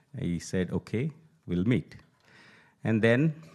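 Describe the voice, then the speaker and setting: A very slow delivery with a Telugu accent, on a very clean recording over a silent background. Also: man. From India (Telugu-speaking). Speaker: Gita teacher and poet. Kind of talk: speech at a temple event.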